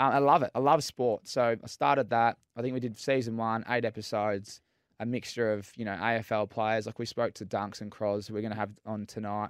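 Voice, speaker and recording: A man with an Australian accent speaks at a medium pitch with fairly even intonation. The recording is very clean, with a silent background and a dry, close sound with no echo. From Melbourne, Australia. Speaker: former footballer, entrepreneur. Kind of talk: casual chat. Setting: studio.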